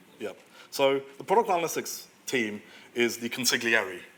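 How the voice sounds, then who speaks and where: The speaker is a man. His voice sits at a medium pitch. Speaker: product analyst. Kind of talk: conference talk Q&A. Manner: fast; halting.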